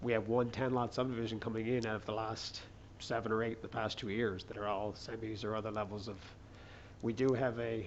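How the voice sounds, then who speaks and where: The speech moves at a fairly quick pace in a flat, monotone delivery, with audible room echo. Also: man, medium pitch for a man. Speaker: city planning staff. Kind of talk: public meeting presentation. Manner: fast.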